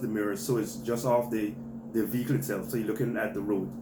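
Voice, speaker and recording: A man speaks at a very fast pace with a medium pitch. Audible room echo is present. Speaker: vlogger, parent giving driving advice. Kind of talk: tutorial. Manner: hesitant, many fillers.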